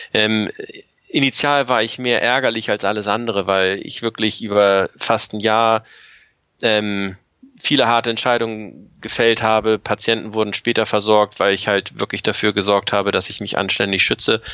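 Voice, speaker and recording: At a moderate tempo, a man talks with fairly even intonation. His is a normal speaking voice, fairly low in pitch. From Germany. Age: 40s. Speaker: paramedic. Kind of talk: interview.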